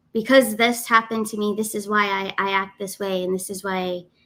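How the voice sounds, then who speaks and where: A woman with a normal speaking voice talks at a moderate pace. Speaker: spiritual guidance teacher. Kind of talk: live stream class. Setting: live stream.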